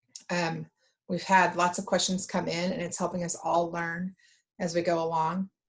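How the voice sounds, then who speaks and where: This woman's somewhat breathy voice sits fairly low in pitch, and her intonation stays monotone and flat. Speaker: state economic development official. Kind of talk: webinar presentation. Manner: slow; halting.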